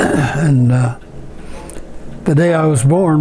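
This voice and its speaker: Music in the background behind a man with a Midwestern American accent, fairly high in pitch, at a fairly slow pace with ordinary pitch variation. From rural Ohio. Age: 80s+. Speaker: evangelist missionary. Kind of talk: interview answer.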